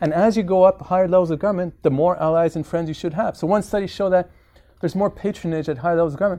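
With a high pitch, a dark, mellow tone and fairly even intonation, a man talks at a very fast pace over a quiet background. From Quebec, Montreal. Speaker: professor, political theorist. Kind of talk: public lecture; panel discussion response. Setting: lecture hall with audience.

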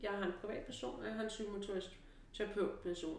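A woman speaks at a medium pitch and a moderate pace. Noticeable background noise and audible room echo surround her voice. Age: 40s. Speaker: relaxation educator and personal trainer. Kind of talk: casual chat. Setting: training and treatment centre. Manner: halting.

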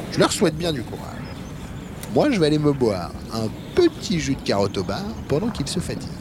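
Over noticeable background noise, a man talks at a very fast pace and a fairly high pitch. His pitch swings very widely, and he takes long, frequent pauses. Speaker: voice actor playing a retired racehorse. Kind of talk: dramatic character narration, a horse telling its story. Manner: animated, playful, chatty with humorous asides; conversational and proud, with a wry tone.

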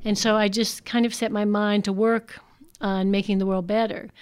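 A woman with an American accent and a plain, everyday voice talks at a moderate pace, fairly high in pitch with fairly even intonation, on a very clean recording with a silent background. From US, Washington DC / Maryland area. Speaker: cult survivor and speaker. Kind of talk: personal testimony talk.

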